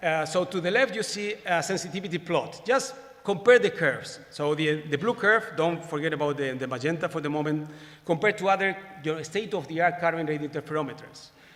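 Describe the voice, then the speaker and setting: Speaking at a fairly quick pace with lively intonation, the voice comes through over noticeable background noise. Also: man. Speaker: astronomer giving plenary talk. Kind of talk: conference lecture. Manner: fast; halting, many repetitions.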